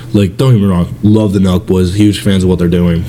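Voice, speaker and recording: Noticeable background noise runs under the recording. A man talks with a very deep, low pitch. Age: 20s. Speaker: podcast co-host. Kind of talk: casual chat. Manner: energetic.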